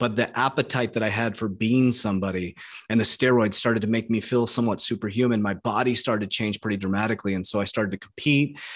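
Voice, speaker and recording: A man with an American accent and medium pitch speaks very fast with hardly any pauses and fairly even intonation over a quiet background. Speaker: online coach and entrepreneur. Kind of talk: interview.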